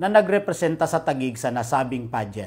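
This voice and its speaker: This man's voice has very wide pitch swings. His pitch rises and falls a great deal. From Philippines. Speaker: city official newsreader. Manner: formal, measured and steady, even pace, neutral and businesslike. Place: office. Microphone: lapel.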